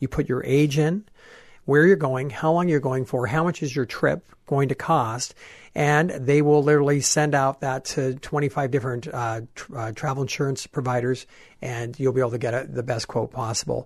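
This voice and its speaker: A man speaks in a plain, everyday voice at medium pitch and a moderate pace. His intonation is fairly even, over a quiet background. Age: 40s. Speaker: travel expert and tour leader. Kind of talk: radio interview.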